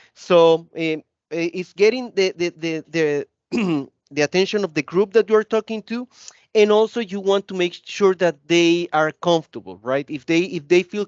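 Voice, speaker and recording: Loud and energetic, a man speaks at a moderate pace in a high pitch with ordinary pitch variation. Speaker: corporate training executive. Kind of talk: interview conversation.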